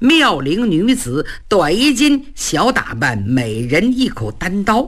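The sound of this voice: The clip has an unforced reading voice.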